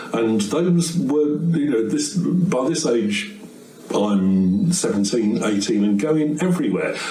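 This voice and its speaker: A man with a fairly high pitch and very wide pitch swings talks at a very slow pace and very even loudness, with noticeable background noise and audible room echo. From English West Midlands, Bewdley/Kidderminster area. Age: 60s. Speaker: folk singer and guitarist. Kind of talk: casual storytelling between songs. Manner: chatty, with frequent hesitations.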